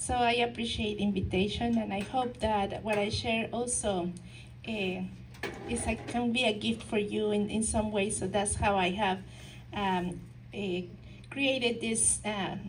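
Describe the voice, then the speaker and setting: At a fairly slow pace, a woman of medium pitch speaks with ordinary pitch variation and audible room echo. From Mexico. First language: Spanish. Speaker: counselor and nonprofit founder. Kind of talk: talk to a local society. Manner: halting, many fillers and restarts.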